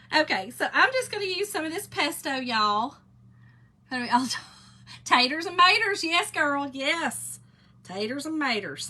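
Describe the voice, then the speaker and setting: Putting on a character voice, a woman drawls in a Southern US accent at a high pitch and a moderate pace, with very wide pitch swings. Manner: playful.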